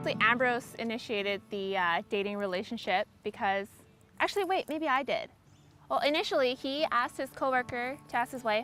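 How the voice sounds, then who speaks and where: A woman speaks at a fairly quick pace in a high voice with lively intonation. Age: 20s. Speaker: pharmacist. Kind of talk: interview testimony. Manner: casual, many fillers.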